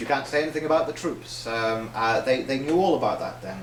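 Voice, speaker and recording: A man talks over noticeable background noise. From Northern Ireland. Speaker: socialist writer. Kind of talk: public lecture.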